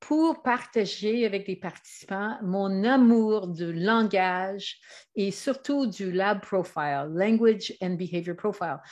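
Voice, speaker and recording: Against a quiet background, a woman with a Canadian English accent speaks at a very slow pace and a medium pitch, with lively intonation. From Canada. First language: English (speaking French). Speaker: trainer and author. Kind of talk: presentation. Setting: online video. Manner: hesitant.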